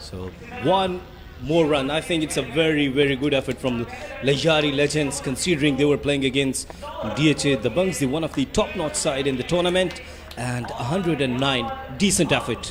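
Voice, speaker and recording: Noticeable background noise and audible room echo around a man's fairly high voice. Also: ordinary pitch variation, moderate pace. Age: young. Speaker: cricket commentator. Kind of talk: live commentary. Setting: commentary box.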